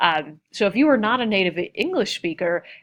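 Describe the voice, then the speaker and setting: A woman at medium pitch. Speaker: college instructor. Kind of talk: recorded lecture narration. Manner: fast; many fillers and false starts.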